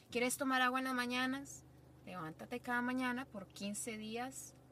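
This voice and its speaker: There is noticeable background noise as a woman speaks at a moderate pace and a fairly high pitch. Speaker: podcast guest, friend of host. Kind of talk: casual chat.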